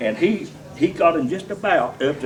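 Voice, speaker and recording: With a North Carolina accent, a man talks at a high pitch amid crowd noise in the background and audible room echo. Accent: Southern US, North Carolina. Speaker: storyteller at a birthday party. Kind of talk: anecdote telling at a party roast. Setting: party with audience, using a microphone.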